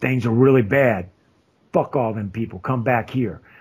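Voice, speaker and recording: A man's put-on character voice, gruff and raspy, medium in pitch and fairly quick. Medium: actual play. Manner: blunt, profane, gruff.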